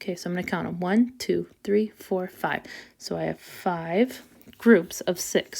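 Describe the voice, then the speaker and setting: A woman with a medium pitch speaks at a fairly slow pace in an unremarkable speaking voice. The recording is very clean, with a silent background. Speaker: elementary school teacher. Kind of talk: math tutorial video.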